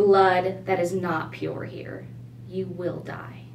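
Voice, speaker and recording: A booming, put-on character voice speaks at a very slow pace over clear background noise. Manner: menacing.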